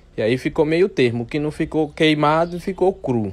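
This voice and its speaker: Pitch moves an ordinary amount on this very clean recording, where the background is silent. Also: man. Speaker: video narrator. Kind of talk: comedic commentary over food video. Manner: joking, sarcastic.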